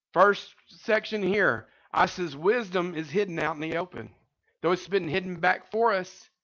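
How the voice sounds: Speaking at a moderate pace, a man has a high pitch, a fairly bright tone and ordinary pitch variation.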